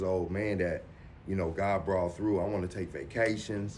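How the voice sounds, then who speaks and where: A man's very deep, low voice at a moderate pace, with fairly even intonation and audible room echo. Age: 40s. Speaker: dialysis patient. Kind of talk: documentary interview. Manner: halting, repetitive.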